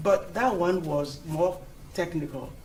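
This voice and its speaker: A man with a non-native accent and fairly even intonation, amid audible room echo and noticeable background noise. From Europe. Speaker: engineering executive. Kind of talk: conference talk.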